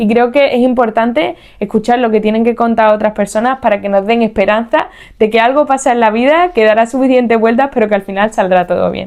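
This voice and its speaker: Her pitch is fairly high, with ordinary variation, as a woman speaks in a normal speaking voice at a moderate pace. The background is quiet. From Spain, Seville (Andalusia). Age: 30s. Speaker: podcast host. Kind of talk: podcast monologue.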